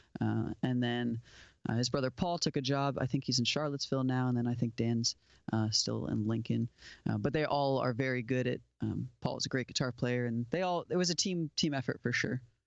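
A man with an ordinary speaking voice talks at a fairly quick pace and medium pitch, with ordinary pitch variation and very even loudness against a quiet background. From South Florida, US. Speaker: musician and studio owner. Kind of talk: casual interview. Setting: video call.

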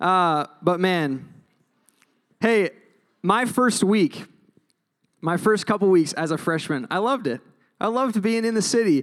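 A man with a high pitch speaks at a fairly slow pace, with long, frequent pauses, lively intonation and an animated tone. The recording is very clean with a silent background. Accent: American. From Minnesota. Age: 20s. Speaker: campus ministry preacher. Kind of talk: sermon.

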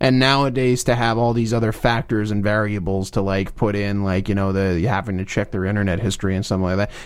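Very fast and with hardly any pauses, a voice with an American accent keeps fairly even intonation on a very clean recording with a silent background. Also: man, fairly low pitch for a man. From New Jersey. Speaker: podcaster. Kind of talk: casual chat. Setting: studio.

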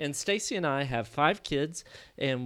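A man with a Kentucky accent and ordinary pitch variation, in a very clean recording with a silent background. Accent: US Southern (Kentucky). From Kentucky, US. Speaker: missionary and theologian. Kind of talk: interview.

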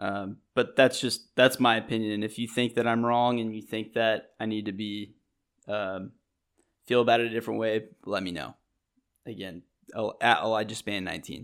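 Speaking in a plain, everyday voice, a man goes at a moderate pace on a very clean recording with a silent background. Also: fairly low pitch for a man, fairly even intonation. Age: 20s. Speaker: sports podcast host. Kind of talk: casual solo sports talk.

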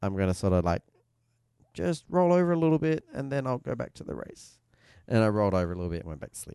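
A man with a fairly low voice speaks at a very fast pace, his pitch swinging very widely and his loudness shifting a lot. The background is quiet. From Australia. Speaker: motorsport podcast host. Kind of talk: casual chat. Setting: studio.

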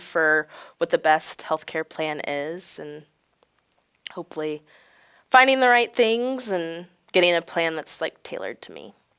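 A woman with an American accent talks at a fairly slow pace with lively intonation. The sound is dry and close with no echo, a very clean recording over a silent background. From central Illinois (Galesburg). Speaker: charity volunteer with a chronic illness. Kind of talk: interview.

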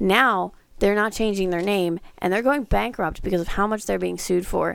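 A woman speaks at a medium pitch and a moderate pace, with ordinary pitch variation, in a normal speaking voice. The recording is very clean with a silent background. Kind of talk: casual chat, playful radio-style patter.

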